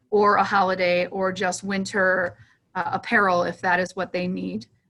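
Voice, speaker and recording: This is a woman speaking at a medium pitch. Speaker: veteran nonprofit program director. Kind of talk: presentation briefing. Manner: fast; hesitant with many ums.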